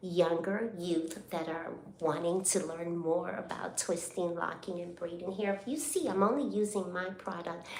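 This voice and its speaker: There is noticeable background noise and audible room echo as a woman speaks at a fairly slow pace with fairly even intonation. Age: 60s. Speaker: hair braider and braiding school owner. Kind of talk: casual live stream chat. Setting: live stream while braiding hair.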